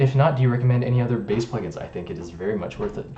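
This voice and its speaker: With audible room echo, a man speaks at medium pitch in a dark, mellow, somewhat breathy tone. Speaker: music producer streamer. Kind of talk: live stream chat. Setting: live stream. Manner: fast.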